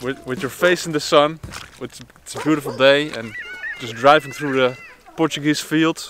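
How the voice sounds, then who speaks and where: At a moderate pace, a man speaks with fairly even intonation in a dry sound with no echo, with faint music in the background. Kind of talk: casual vlog chat. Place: open country. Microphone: phone near.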